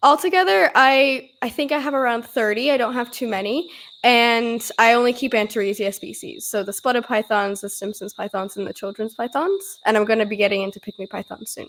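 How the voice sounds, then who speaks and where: A woman speaks at a fairly quick pace with hardly any pauses, her fairly high-pitched voice showing lively intonation and big swings in loudness. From Australia, raised by Canadian parents. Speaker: snake breeder and vet nurse intern. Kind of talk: casual chat.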